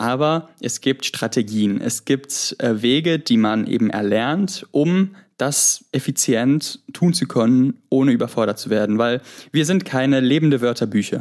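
A man's medium-pitched voice at a fairly slow pace with ordinary pitch variation, on a very clean recording with a silent background. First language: Greek (speaking German). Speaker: university student. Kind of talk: interview. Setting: app call from holiday home in Greece.

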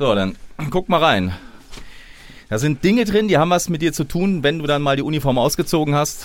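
At a fairly quick pace with long, frequent pauses, a man keeps his loudness very even while his pitch swings very widely. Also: fairly high pitch for a man. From southern Hesse. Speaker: podcast host, police officer. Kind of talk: interview.

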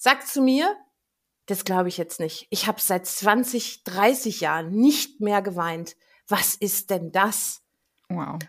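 Her intonation is lively and her pitch medium. The woman speaks at a very slow pace. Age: 50s. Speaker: angel healer. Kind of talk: interview, personal story.

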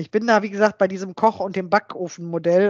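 A woman speaks at a very fast pace. Her pitch sits in the middle range. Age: 50s. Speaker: software developer and coworking space owner. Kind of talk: interview. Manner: halting.

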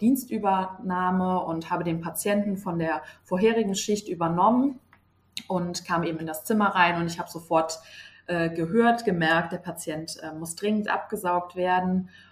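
Somewhat breathy and fairly low-pitched, a woman speaks at a moderate pace with fairly even intonation. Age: 20s. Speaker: nurse. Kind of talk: interview.

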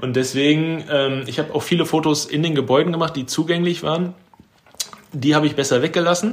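A man talks with fairly even intonation. Noticeable background noise is audible throughout. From Germany, Ruhr area (Bochum). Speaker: photographer. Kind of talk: casual chat.

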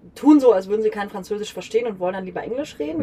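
Noticeable background noise sits under a woman speaking with ordinary pitch variation. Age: 30s. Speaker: tour guide. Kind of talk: casual chat. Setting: in a caravan.

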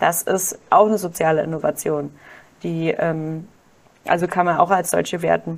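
The woman leaves long, frequent pauses while keeping a moderate pace. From Germany, Kaiserslautern (Palatinate). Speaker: doctoral researcher and social enterprise founder. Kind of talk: podcast interview.

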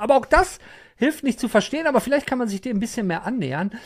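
A man with an animated tone and lively intonation. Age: 50s. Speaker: gaming podcast host. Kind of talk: casual chat.

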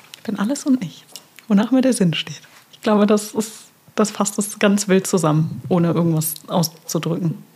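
Lively intonation and big swings in loudness come at a moderate pace, with noticeable background noise behind. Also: woman, medium pitch for a woman. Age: 30s. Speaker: podcast co-host. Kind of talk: casual chat.

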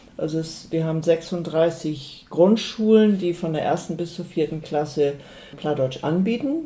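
Against noticeable background noise, a woman speaks with a fairly low pitch and ordinary pitch variation at a fairly slow pace. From North Frisia, Eiderstedt peninsula. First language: Low German (speaking German). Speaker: Low German language advocate. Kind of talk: interview. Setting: at home.

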